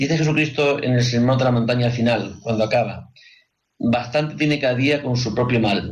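Somewhat breathy and at a medium pitch, a man talks at a moderate pace with very even loudness and fairly even intonation, and room echo is audible. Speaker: radio host. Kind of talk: radio talk show.

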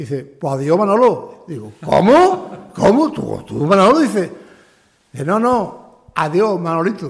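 An animated man with a high pitch and very wide pitch swings, audible room echo around him. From Andalusia, Sanlúcar de Barrameda. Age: 70s. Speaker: retired military man. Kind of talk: testimony interview.

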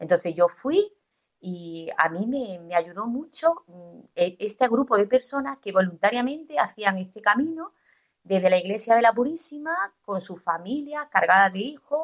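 A woman speaks at a fairly slow pace, her pitch swinging very widely and her loudness rising and falling in big swings. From Andalusia, Spain (Estepona, Málaga). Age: 40s. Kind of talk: testimony. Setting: radio studio. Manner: halting.

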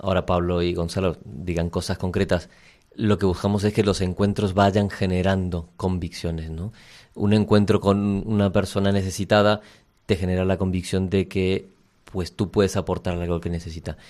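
A man's very deep, low voice, monotone and flat, at a moderate pace on a very clean recording with a silent background. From Argentina. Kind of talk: radio interview.

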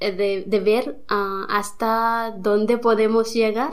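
With audible room echo, a woman with a fairly high pitch speaks at a very slow pace using fairly even intonation. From India. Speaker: nun. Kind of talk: interview. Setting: studio. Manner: halting.

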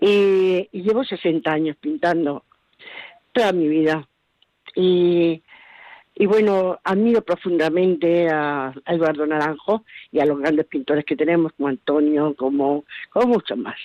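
A woman speaks at a fairly low pitch and a fairly slow pace, with ordinary pitch variation. Her tone is dark and mellow, and the sound is dry and close with no echo. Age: 80s+. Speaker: amateur painter, listener caller. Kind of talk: phone-in call. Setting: phone call.

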